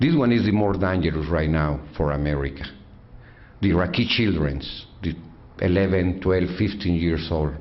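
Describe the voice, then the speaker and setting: With a Mexican accent, a man speaks in a very deep, low pitch, his loudness very even and his pitch varying normally, with audible room echo around him. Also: moderate pace. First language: Spanish. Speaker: activist, father of fallen soldier. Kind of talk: speech. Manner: halting broken English.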